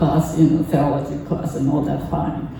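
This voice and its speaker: In a Japanese accent, a woman speaks with a very deep, low pitch and monotone, flat intonation, with audible room echo and noticeable background noise. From Japan (Kamakura, near Tokyo). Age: 80s. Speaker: temple member giving a talk. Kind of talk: personal talk at a service. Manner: halting, many fillers.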